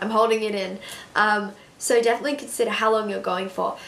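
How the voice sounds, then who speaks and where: Audible room echo surrounds a woman speaking with an Australian accent. Her pitch is fairly high. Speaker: beauty vlogger. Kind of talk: casual chat.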